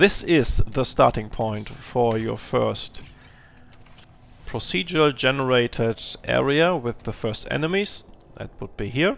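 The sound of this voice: Speaking at a fairly slow pace, a man with a German accent has lively intonation. His loudness swings a lot. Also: medium pitch for a man.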